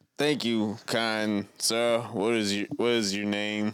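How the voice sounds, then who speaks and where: A man puts on a character voice at a medium pitch and a very slow pace. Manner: loud, blustery.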